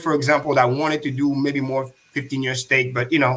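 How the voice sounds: A man talks at a fairly quick pace with a fairly bright tone. His pitch is medium and shows little movement.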